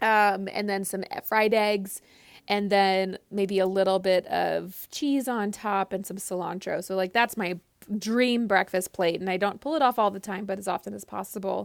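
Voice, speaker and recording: A woman with an ordinary speaking voice talks at a medium pitch and a moderate pace with fairly even intonation, in a very clean recording with a silent background. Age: 30s. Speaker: cookbook author. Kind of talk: casual chat.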